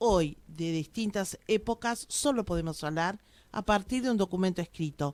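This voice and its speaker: In a very clean recording with a silent background and a dry, close sound with no echo, a woman with an unremarkable speaking voice talks at a moderate pace, medium in pitch, with lively intonation. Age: 60s. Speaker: local historian. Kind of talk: radio interview.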